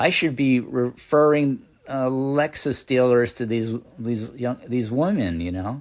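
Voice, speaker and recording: Here a man speaks at a medium pitch. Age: 60s. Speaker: comedian. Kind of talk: stand-up. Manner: halting.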